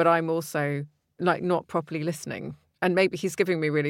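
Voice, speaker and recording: In a British accent, a woman speaks with a very deep, low pitch and monotone, flat intonation on a very clean recording with a silent background. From Britain. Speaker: podcast host. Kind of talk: casual chat.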